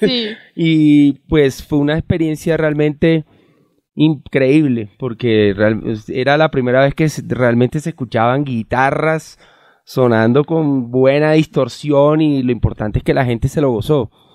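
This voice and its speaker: A man's fairly high voice, fairly slow in pace, with ordinary pitch variation. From Barranquilla, Colombia. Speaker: band vocalist. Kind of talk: casual interview. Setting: in a car. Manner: halting, repeats words.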